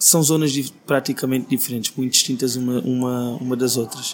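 Noticeable background noise surrounds a man's voice. He speaks at a medium pitch in a flat monotone. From Portugal, Alentejo (Beja). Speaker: singer-songwriter. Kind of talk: interview.

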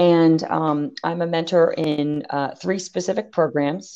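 Against a quiet background, a woman with a very deep, low pitch talks at a fairly slow pace in a dark, mellow tone. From Maryland, US. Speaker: tech company co-founder. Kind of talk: interview.

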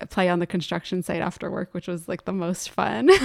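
A woman with an American accent speaks at a moderate pace in a fairly low pitch, with an unremarkable speaking voice. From northern New Jersey (Morristown). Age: 30s. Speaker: filmmaker and sound engineer. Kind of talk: casual chat. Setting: home.

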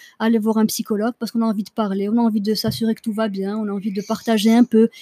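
A woman speaks very fast in a fairly high, somewhat breathy voice with a dark, mellow tone and fairly even intonation. The sound is dry and close, with no echo. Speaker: podcast host. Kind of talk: casual chat.

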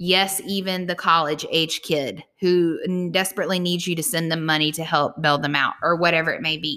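With hardly any pauses, a woman speaks in a fairly low voice with a bright, sharp tone. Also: fairly even intonation, moderate pace. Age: 40s. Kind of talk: casual solo monologue.

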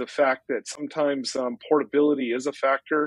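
A man's fairly high-pitched, an unremarkable speaking voice with fairly even intonation. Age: 50s. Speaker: real estate broker and drone photographer. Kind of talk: interview.

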